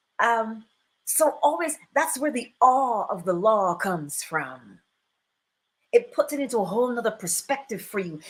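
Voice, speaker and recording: In a Barbadian accent, a woman talks at a moderate pace in a high voice. Her tone is animated, and her pitch swings very widely. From Barbados. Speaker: spiritual teacher and livestream host. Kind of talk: live stream talk with chat. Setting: live stream.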